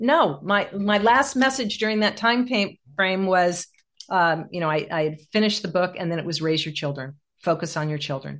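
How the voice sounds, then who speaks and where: A woman's ordinary speaking voice, fairly low in pitch, at a moderate pace with lively intonation, over a quiet background. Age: 60s. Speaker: executive coach and author. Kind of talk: interview conversation.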